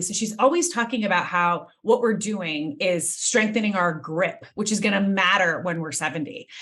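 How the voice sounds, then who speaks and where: A woman speaks with a normal speaking voice at medium pitch. Her intonation is lively and her pace moderate. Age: 40s. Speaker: podcast host and life coach. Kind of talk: podcast interview.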